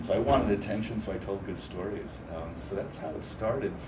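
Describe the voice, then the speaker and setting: With audible room echo, a man speaks at a fairly quick pace in a fairly low voice with ordinary pitch variation. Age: 60s. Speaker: professional storyteller. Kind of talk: interview answers to a child. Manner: animated.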